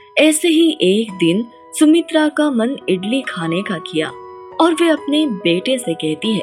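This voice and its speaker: A woman with a fairly high voice swings her pitch very widely over music in the background. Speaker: voice actor. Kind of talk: children's story narration.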